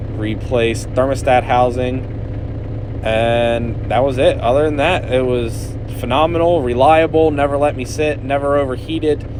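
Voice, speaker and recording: Over noticeable background noise and audible room echo, a man talks at a fairly slow pace with fairly even intonation. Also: medium pitch for a man. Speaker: automotive YouTuber. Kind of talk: voiceover narration. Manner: casual, many fillers.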